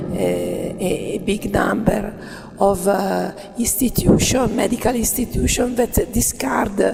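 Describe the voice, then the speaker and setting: A woman with an Italian accent at a very slow pace, noticeable background noise and audible room echo. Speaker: cooperative manager. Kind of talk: conference presentation. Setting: workshop with audience. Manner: halting, many fillers.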